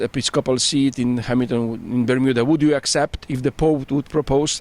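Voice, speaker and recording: Speaking with a Polish accent at a moderate pace, a man keeps a medium pitch and fairly even intonation, in a dry, close sound with no echo. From Poland. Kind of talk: interview. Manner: halting, with false starts.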